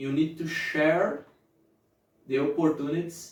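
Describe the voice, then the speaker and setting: A man speaks at a very slow pace. His pitch sits fairly high. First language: not English. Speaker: motivational youtuber. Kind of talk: motivational talk to camera. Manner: halting, self-correcting.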